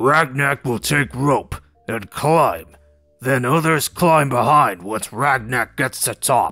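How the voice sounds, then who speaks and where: In a raspy, put-on character voice, a man speaks at a medium pitch and a fairly slow pace, with faint music in the background. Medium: read story. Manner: simple, blunt, third-person speech.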